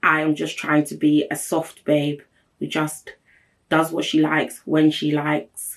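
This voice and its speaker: A woman speaks in a very deep, low pitch at a fairly slow pace. Her tone is animated. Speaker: podcast host. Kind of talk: solo podcast monologue.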